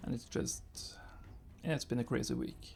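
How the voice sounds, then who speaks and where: Music plays in the background as a man with a non-native accent talks at a fairly quick pace. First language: not English. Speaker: gaming youtuber. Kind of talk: gameplay commentary. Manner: halting, many fillers. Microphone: new recording setup after software crash.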